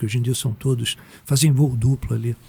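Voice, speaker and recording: The man's voice is somewhat breathy with a dark, mellow tone, medium pitch and a fairly quick pace. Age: 60s. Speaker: meditation teacher. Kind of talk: podcast interview. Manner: casual, slangy.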